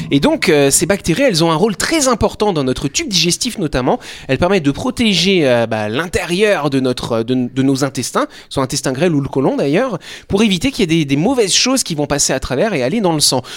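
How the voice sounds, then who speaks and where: Fairly quick speech with very wide pitch swings over noticeable background noise. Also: man, fairly high pitch for a man. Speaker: radio talk show host. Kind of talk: casual chat. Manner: fast.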